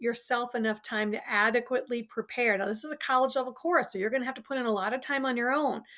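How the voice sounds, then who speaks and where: Speaking at a fairly quick pace, a woman has a high pitch. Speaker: college instructor. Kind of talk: lecture. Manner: fast.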